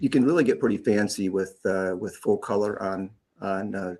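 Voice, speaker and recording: The recording is very clean with a silent background. A man speaks at fairly low pitch and a moderate pace, with ordinary pitch variation. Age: 60s. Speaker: custom guitar pick maker. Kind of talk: casual interview on live stream. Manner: halting, many fillers and repeats.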